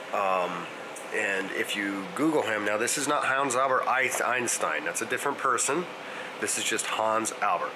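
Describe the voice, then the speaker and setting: Amid noticeable background noise, a man talks at a moderate pace with ordinary pitch variation. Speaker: family history vlogger. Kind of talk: casual vlog chat. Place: home room. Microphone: phone near.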